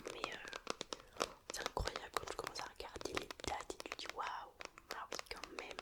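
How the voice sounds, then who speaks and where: Whispering at a fairly slow pace in a relaxed tone, the speaker is heard over noticeable background noise. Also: woman. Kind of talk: casual talk to camera. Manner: relaxed, chatty.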